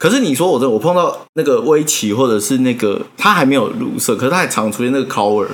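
A man talks at a very fast pace, with hardly any pauses. His fairly high voice makes very wide pitch swings. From Taiwan, Taipei. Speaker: design podcast host. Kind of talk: casual chat.

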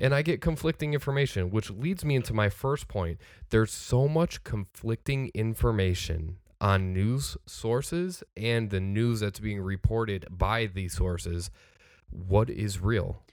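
Fairly low in pitch, a man with an unremarkable speaking voice talks at a fairly slow pace with lively intonation in a very clean recording with a silent background. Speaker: podcast co-host. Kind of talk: casual chat.

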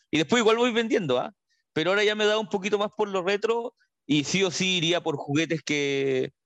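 Lively intonation and a high pitch mark this man's voice at a fairly quick pace. The sound is dry and close, with no echo. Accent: Chilean. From northern Chile, María Elena. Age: 30s. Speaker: journalist. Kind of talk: casual chat.

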